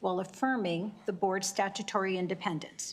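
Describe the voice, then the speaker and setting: A woman is speaking. Her pace is fairly quick. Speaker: executive director of a state licensing board. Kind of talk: testimony. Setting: legislative committee hearing. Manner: soft-spoken.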